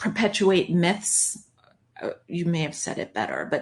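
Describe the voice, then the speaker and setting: Very slow, somewhat breathy speech from a woman with a New York accent, ordinary pitch variation, and a quiet background. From Long Island, New York. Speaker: broadcaster. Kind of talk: interview conversation. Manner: animated, excitable.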